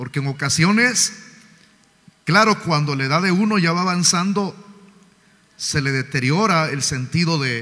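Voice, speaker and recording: A fairly high-pitched male voice with lively intonation and long, frequent pauses. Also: fairly slow pace. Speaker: pastor. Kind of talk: sermon. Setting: church. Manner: loud. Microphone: sound too quiet from pulpit.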